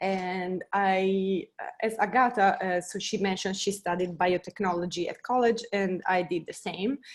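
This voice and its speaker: With an Italian accent, a woman speaks at a medium pitch and a moderate pace. Her intonation stays fairly even. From Italy. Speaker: biotech scientist. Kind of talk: panel talk. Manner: hesitant.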